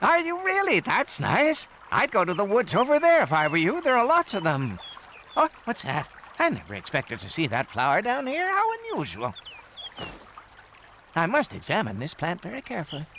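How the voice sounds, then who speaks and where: In a cartoonish character voice, a man talks at a fairly quick pace with a high pitch, leaving long, frequent pauses. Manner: distracted, pedantic.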